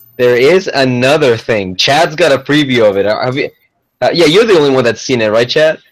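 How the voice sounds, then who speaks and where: The man's voice sits at a medium pitch with lively intonation. His tone is animated. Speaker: gun talk show co-host. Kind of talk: casual chat. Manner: loud.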